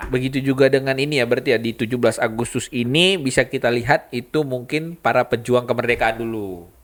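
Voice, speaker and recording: A man's medium-pitched voice at a very fast pace, ordinary pitch variation, hardly any pauses. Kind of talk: casual podcast conversation.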